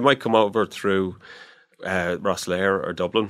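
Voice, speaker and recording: Flat, monotone intonation in an Irish accent, on a very clean recording with a silent background. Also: man. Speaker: animal welfare inspector. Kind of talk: interview. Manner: hesitant, repeats words.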